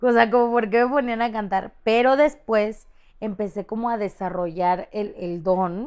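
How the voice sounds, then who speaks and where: Against a quiet background, a woman with a Mexican accent speaks at a moderate pace and a fairly high pitch, with ordinary pitch variation. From Mexico. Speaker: content creator. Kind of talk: casual chat. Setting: studio. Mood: animated, storytelling. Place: studio.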